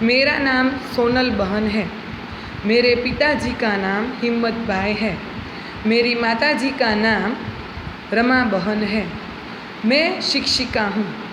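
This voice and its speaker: A woman with a Gujarati accent speaks at a fairly high pitch with ordinary pitch variation, very even loudness, and long, frequent pauses. Noticeable background noise and audible room echo fill the recording. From Gujarat, India. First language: Gujarati (speaking Hindi). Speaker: schoolteacher. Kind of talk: classroom lesson for children. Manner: slow, clear teaching pace.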